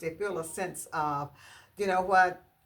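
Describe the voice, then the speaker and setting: A woman's moderate pace and ordinary pitch variation come through noticeable background noise. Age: 60s. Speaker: home decor YouTuber. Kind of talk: casual vlog talk to viewers. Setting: at home in dining room. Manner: hesitant, many fillers.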